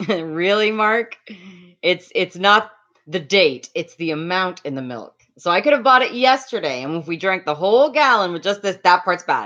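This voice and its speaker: A woman speaks loudly at a moderate pace and medium pitch, her tone bright, sharp and animated, with very wide pitch swings. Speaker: livestreamer. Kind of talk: casual livestream chat with viewers. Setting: home livestream on laptop.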